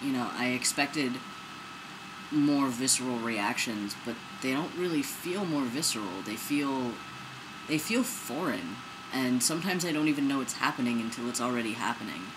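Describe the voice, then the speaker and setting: Noticeable background noise and audible room echo surround a man's voice. He speaks at a moderate pace with a medium pitch and ordinary pitch variation. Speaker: video blogger. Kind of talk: personal vlog. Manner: casual, animated.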